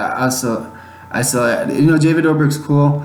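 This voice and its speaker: Amid noticeable background noise and audible room echo, a man with an American accent talks fairly quickly at a fairly high pitch. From Chicago, US Midwest. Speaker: YouTuber podcast host. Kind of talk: casual solo podcast monologue. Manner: fast.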